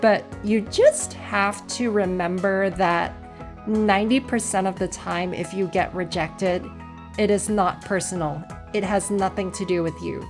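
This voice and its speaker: Over music in the background, a woman of medium pitch speaks at a fairly slow pace with a fairly even intonation. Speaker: convention-goer, introvert. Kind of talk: casual talk to camera.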